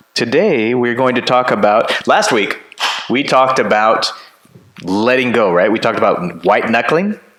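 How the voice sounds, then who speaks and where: A man speaks with lively intonation and very even loudness. Noticeable background noise sits behind him. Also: medium pitch for a man, moderate pace. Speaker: pastor. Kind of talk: casual chat. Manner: laughs at himself often. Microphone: turned-down mic, echo in room.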